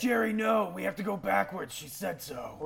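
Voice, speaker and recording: A man's put-on character voice, raspy and high-pitched, at a moderate pace over light background noise. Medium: actual play. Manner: impulsive, excitable.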